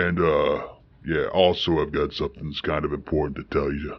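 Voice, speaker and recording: Putting on a character voice, a man speaks in a very deep, low pitch at a fairly quick pace. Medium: audio drama. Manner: gruff, blunt.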